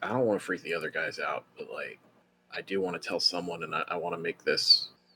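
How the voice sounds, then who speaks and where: A quiet, raspy put-on character voice from a man at a very fast pace. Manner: lowered, hushed.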